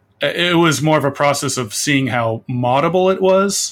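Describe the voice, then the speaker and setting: A man talks in a normal speaking voice at a fairly slow pace, with ordinary pitch variation. The recording is very clean, and the background is silent. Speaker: indie game artist. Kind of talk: interview.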